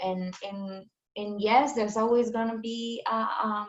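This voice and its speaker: This woman's pitch is fairly high and her intonation fairly even. She speaks at a very slow pace. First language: not English. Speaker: farmer. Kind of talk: panel discussion. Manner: halting.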